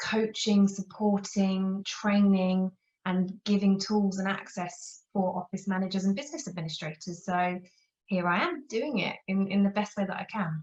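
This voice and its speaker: A woman with a London accent, moderate pace and ordinary pitch variation. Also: medium pitch for a woman. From England, near London. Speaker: office management consultant. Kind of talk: interview.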